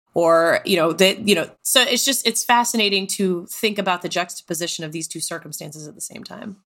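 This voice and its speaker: An ordinary speaking voice with an American accent moves at a fairly quick pace, with hardly any pauses. Pitch varies in an ordinary way, while loudness swings widely. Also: woman, medium pitch for a woman. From Texas. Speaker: tabletop game player. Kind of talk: casual discussion.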